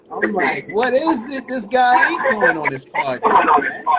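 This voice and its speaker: The speech moves at a fairly slow pace, with noticeable background noise throughout. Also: man. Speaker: podcast host. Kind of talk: casual chat.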